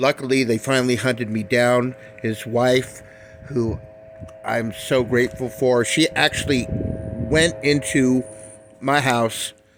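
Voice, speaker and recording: Noticeable background noise sits under a man's voice. He speaks at a very slow pace with a medium pitch. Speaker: cannabis grower vlogger. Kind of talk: casual monologue.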